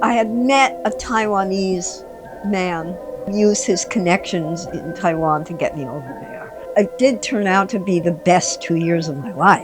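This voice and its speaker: Over music in the background, a woman talks at a medium pitch with lively intonation. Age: 70s. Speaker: yoga contortionist. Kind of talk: interview answer.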